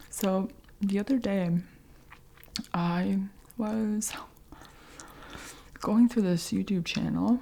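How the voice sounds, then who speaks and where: A woman with a gentle, somewhat breathy voice at a medium pitch speaks at a very slow pace with fairly even intonation and long, frequent pauses. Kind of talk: ASMR soft-spoken update to camera. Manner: soft-spoken, gentle, whispery.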